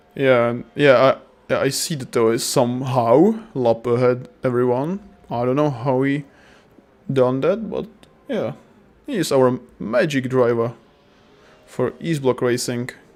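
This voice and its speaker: Speaking at a fairly slow pace, a man leaves long, frequent pauses. His medium pitch shows ordinary variation over noticeable background noise. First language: not English. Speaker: sim racing commentator. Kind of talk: live commentary. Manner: halting; animated.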